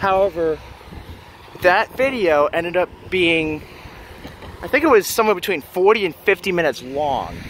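The speech moves at a moderate pace over light background noise. The sound is dry, with no echo. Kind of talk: casual vlog commentary. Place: street. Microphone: phone near.

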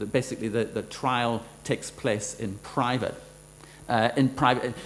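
A man speaks at a moderate pace with a Northern Irish accent. Light background noise can be heard. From Northern Ireland. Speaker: law professor. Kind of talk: lecture. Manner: halting. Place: hall. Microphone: podium.

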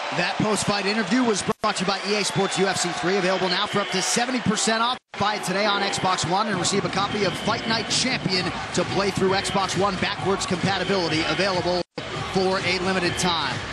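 Over noticeable background noise, a man with a high pitch talks at a fairly quick pace in a monotone, flat intonation with very even loudness. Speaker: fight commentator. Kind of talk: live fight commentary and broadcast narration. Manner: measured, polished broadcast delivery.

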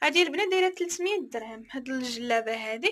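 At a moderate pace, a woman speaks in a high voice. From Morocco. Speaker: online clothing seller and vlogger; online clothing seller, vlogger. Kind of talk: product showcase vlog. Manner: animated. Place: shop. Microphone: phone near.

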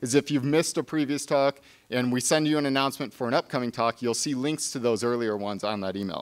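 A man at a very fast pace, with ordinary pitch variation, against a quiet background. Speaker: museum staff host introducing speaker. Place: hall. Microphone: podium.

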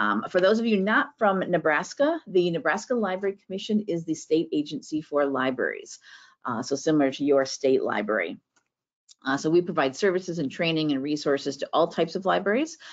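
Someone speaks at a fairly quick pace over a quiet background. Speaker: webinar host. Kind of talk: show introduction. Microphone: video call.

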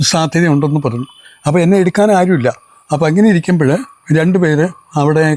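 A man with a fairly high pitch and a dark, mellow tone speaks with ordinary pitch variation, the sound dry and close with no echo. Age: 70s. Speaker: lay street preacher. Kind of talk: testimony.

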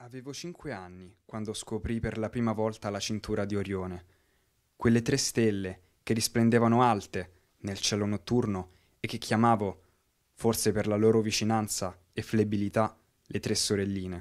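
Silent background and a very clean recording, with a man at a moderate speed. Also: fairly even intonation. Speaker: amateur storyteller in a digital storytelling workshop. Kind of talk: scripted first-person digital story, a poetic memoir read aloud over images. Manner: wistful, gently awed tone rising to a reflective close.

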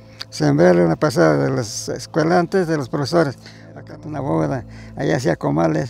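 Over music in the background, a man with a very deep, low pitch talks at a fairly quick pace, with very wide pitch swings and big swings in loudness. The sound is dry with no echo. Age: 80s+. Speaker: farmer. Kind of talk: folk tale told by the fire. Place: open country.

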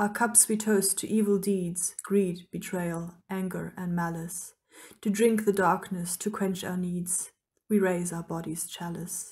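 In a non-native accent, a woman speaks fairly slowly at a medium pitch, somewhat breathy and with monotone, flat intonation. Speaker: author. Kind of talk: poetry reading.

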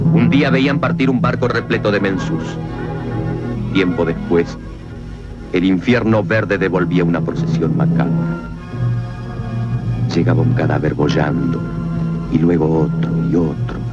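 With loud music in the background, a man speaks at a fairly slow pace with long, frequent pauses. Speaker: film narrator. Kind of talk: dramatic film narration. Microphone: old recording.

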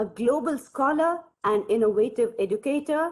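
Her pitch makes very wide swings as the woman speaks at a moderate pace. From India. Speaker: university lecturer, co-organiser. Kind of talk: formal speaker introduction. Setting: video call. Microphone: video call.

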